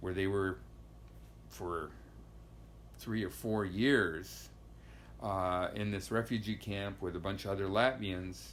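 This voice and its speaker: Speaking with an American accent, a man has a very deep, low pitch and ordinary pitch variation. His pace is very slow, with long, frequent pauses and audible room echo. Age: 60s. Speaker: immigrant interviewee. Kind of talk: interview storytelling. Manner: halting, many fillers.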